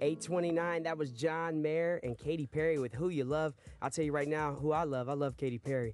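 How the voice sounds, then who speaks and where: A man with an upbeat, energetic tone and very even loudness, in a dry sound with no echo, with faint music in the background. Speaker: radio host. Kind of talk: radio DJ patter. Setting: radio studio. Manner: upbeat, energetic, rapid-fire DJ banter. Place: studio.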